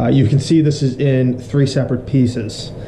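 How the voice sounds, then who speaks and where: A man's monotone, flat delivery amid audible room echo and light background noise. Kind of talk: tutorial. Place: workshop.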